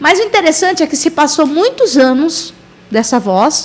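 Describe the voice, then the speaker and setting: Lively intonation marks this woman's speech at a moderate pace. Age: 40s. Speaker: missionary. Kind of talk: testimony.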